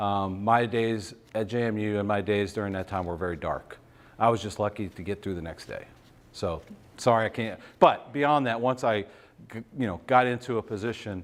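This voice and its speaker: In a very clean recording with a silent background, a man with an unremarkable speaking voice talks at a moderate pace, fairly low in pitch with ordinary pitch variation. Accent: American. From Virginia, Shenandoah Valley. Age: 50s. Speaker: business executive, guest speaker. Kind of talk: talk with audience Q&A.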